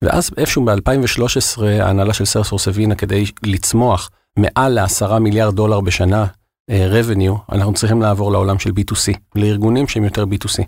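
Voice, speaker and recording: Using a normal speaking voice, a man with a fairly low pitch talks at a moderate pace with fairly even intonation and very even loudness, on a very clean recording with a silent background. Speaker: regional sales manager at a software company. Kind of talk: interview.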